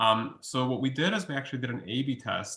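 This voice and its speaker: The speaker is a man with a Russian accent. His pitch sits in the medium range. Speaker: college researcher. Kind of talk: webinar Q&A. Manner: hesitant, many fillers.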